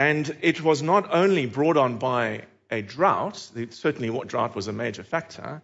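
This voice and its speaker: A man's fairly high voice with a South African accent, lively intonation and a fairly slow pace. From Cape Town. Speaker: preacher. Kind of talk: sermon. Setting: church.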